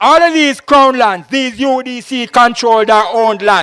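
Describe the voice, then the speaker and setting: In a Jamaican accent, a man talks at a very slow pace. His raised, projected voice sits at an extremely high pitch. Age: 60s. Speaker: political candidate. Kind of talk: public political speech.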